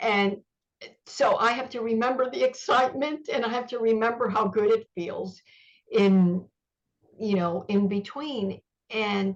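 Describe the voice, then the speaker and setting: A woman speaks with a somewhat breathy quality and ordinary pitch variation. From Cuba, raised in US. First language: Spanish. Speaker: author and journalist. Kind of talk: interview.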